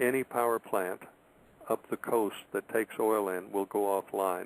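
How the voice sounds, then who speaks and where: A man with a normal speaking voice and a fairly low pitch talks at a moderate pace with fairly even intonation and very even loudness, in a dry, close sound with no echo. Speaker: radio show host. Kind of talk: radio talk show commentary.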